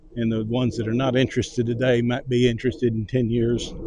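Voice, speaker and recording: With a Texan accent, a man speaks at medium pitch in a dark, mellow tone. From Texas. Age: 70s. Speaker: vlogger. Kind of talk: casual chat. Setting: outdoors walking dogs. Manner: slow and distinct.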